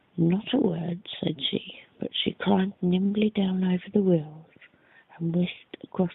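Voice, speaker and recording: A soft-spoken woman, whispering. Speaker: ASMR reader. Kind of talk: softly spoken audiobook reading for relaxation. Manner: soft-spoken, whispered.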